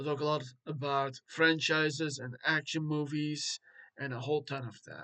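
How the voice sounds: Bright and sharp in tone, a man's voice holds a fairly high pitch with fairly even intonation.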